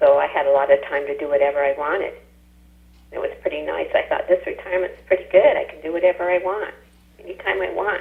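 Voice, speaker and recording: The speech comes at a very fast pace with big swings in loudness, and there is noticeable background noise. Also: woman. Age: 70s. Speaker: retired dental office worker. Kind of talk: interview.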